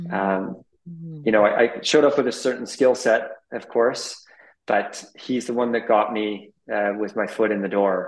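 A man with a Canadian accent speaks in a medium pitch with ordinary pitch variation. He leaves long, frequent pauses. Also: moderate pace. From British Columbia, Canada. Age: 40s. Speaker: private jet pilot. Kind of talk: interview.

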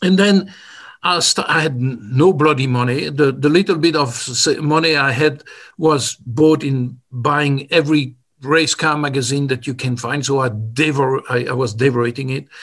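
A man speaks at a moderate pace. His fairly high pitch has ordinary variation. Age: 60s. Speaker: motorsports engineer. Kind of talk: interview. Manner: halting.

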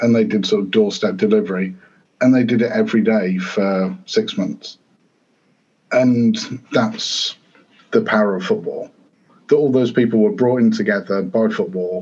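A man with a northern English accent speaks at a moderate pace with long, frequent pauses. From northern England, Grimsby. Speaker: football author and coach. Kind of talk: interview.

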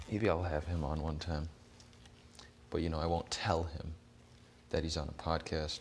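Speaking at a moderate pace in a very deep, low pitch, a man sounds somewhat breathy and monotone, with long, frequent pauses and flat intonation. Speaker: solo podcast host. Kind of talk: casual monologue. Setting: outdoors, walking. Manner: rambling, hesitant with fillers.

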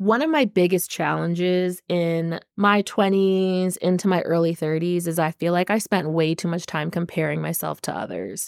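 A woman with an American accent speaks at a moderate pace in a fairly low pitch with fairly even intonation. It is an ordinary speaking voice, on a very clean recording with a silent background. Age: 30s. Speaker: podcast host. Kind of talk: solo podcast monologue. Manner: casual, conversational.

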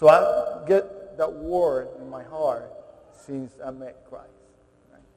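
A man talks at a very slow pace with big swings in loudness. There is noticeable background noise. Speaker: guest speaker at a military chapel. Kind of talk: testimony. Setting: stage with audience. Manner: halting, repeats words.

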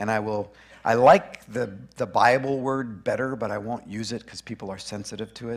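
This man has a medium-pitched voice with ordinary pitch variation, a moderate pace and big swings in loudness. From Canada (Alberta). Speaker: conference speaker on grief. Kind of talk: conference talk.

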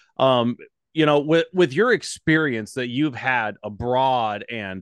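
A man with an American accent uses a normal speaking voice at medium pitch with ordinary pitch variation, recorded with a dry, close sound with no echo against a quiet background. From Montana. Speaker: podcast host, pastor. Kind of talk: interview.

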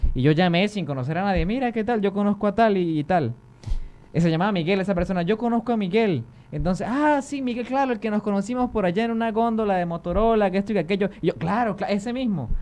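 Music plays in the background. The speech is very fast, with ordinary pitch variation. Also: man, high pitch for a man. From Venezuelan Andes, Táchira (Lobatera). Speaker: YouTuber. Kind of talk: casual chat. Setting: studio.

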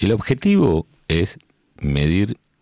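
Recorded dry and close with no echo, a man with an Argentine accent speaks at a very deep, low pitch with vocal fry and very wide pitch swings. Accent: Rioplatense Argentine Spanish. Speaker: podcast host. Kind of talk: casual interview chat. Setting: studio.

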